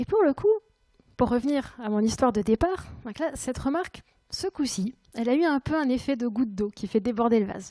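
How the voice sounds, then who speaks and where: On a very clean recording with a silent background and a dry, close sound with no echo, a woman with a high pitch and a dark, mellow tone talks fairly quickly with lively intonation. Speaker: conference speaker. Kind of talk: conference talk. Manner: hesitant.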